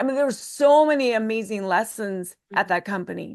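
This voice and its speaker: A fairly high-pitched woman's voice, an unremarkable speaking voice, with ordinary pitch variation against a quiet background. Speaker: leadership consultant and author. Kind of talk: podcast interview answer, personal reflection. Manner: reflective, earnest, conversational.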